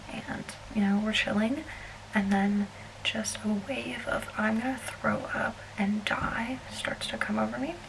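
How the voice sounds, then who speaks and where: A woman whispering at a fairly slow pace, with noticeable background noise and audible room echo. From US South, South Alabama. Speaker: travel vlogger. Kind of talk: casual vlog storytelling. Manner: shaky, fidgety.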